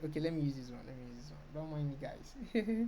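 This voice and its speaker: There is audible room echo around a woman whose very deep, low pitch has a dark, mellow tone. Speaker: design tutorial creator. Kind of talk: screen-recorded software tutorial. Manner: fast.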